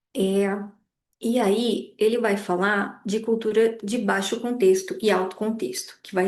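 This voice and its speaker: Fairly slow, fairly high-pitched speech from a woman, with audible room echo. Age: 30s. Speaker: lecturer. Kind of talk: lecture.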